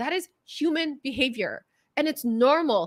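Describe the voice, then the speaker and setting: A woman with a Southern California accent speaks using ordinary pitch variation. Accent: Valley girl. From Southern California, the Valley. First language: Korean. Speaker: video coach. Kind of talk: interview. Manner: fast; slight stutter, stumbles over words.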